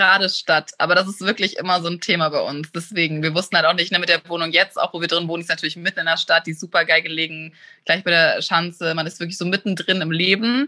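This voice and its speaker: A woman talks at a very fast pace with hardly any pauses, her fairly low pitch carried in a bright, sharp tone with fairly even intonation. The background is quiet and the sound is dry and close, with no echo. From northern Germany, rural area near Hamburg. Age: 30s. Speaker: fashion blogger and property investor. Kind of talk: casual interview. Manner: talkative.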